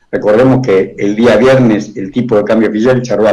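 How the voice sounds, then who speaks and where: A man's dark, mellow voice at medium pitch, with an Argentine accent, fairly even intonation and a fairly quick pace. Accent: Argentine Spanish (voseo). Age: 70s. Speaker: economist. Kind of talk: radio interview.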